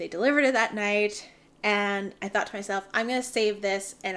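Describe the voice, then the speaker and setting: A woman with a Canadian accent, medium in pitch and moderate in pace, on a very clean recording with a silent background. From Canada. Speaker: knitting podcaster. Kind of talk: casual chat. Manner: chatty, with filler ums.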